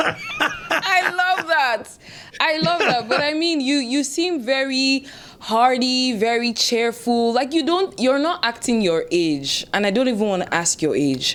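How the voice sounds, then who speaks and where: Over noticeable background noise, a woman with a high pitch speaks fairly slowly in an enthusiastic tone, her pitch swinging very widely while her loudness stays very even. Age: 20s. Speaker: podcast host. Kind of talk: interview.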